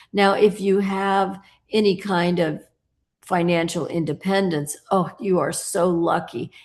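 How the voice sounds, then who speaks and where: In an ordinary speaking voice, a woman with an American accent talks at a fairly slow pace, keeping a medium pitch and fairly even intonation. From United States. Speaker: sculptor. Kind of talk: interview.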